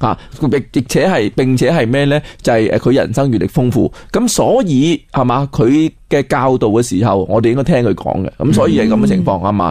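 The man's medium-pitched voice has lively intonation and very even loudness, and he moves at a moderate pace. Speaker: Chinese culture scholar. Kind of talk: educational radio interview. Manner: halting, many fillers.

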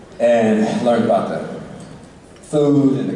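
A man speaks at a very slow pace with very wide pitch swings. There is strong room echo and light background noise. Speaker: guest. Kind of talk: Q&A answer to fans. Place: stage.

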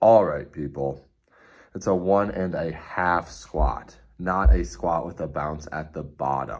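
Over a quiet background, a man with a very deep, low voice uses vocal fry and lively intonation. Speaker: CrossFit coach. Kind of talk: workout briefing. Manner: casual, many filler words. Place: home room. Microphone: phone near.

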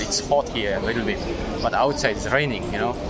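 The man's speech is heard through loud background noise. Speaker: travel vlogger. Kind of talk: casual vlog chat. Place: station. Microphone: phone near.

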